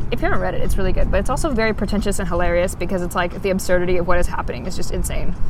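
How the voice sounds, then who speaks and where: With noticeable background noise, a woman speaks very fast, hardly pausing, her intonation fairly even. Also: medium pitch for a woman. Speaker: podcast co-host. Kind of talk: casual chat. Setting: outdoors. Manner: articulate.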